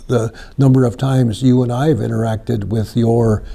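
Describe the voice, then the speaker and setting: With ordinary pitch movement, this man talks in a somewhat breathy voice. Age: 70s. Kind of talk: interview discussion.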